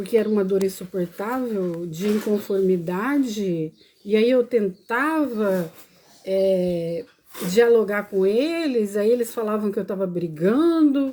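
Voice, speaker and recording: At a very slow pace, a woman with a medium pitch and a dark, mellow tone speaks with lively intonation. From Brazil, Paranaíba. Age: 50s. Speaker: vlogger. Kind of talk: personal testimony live stream.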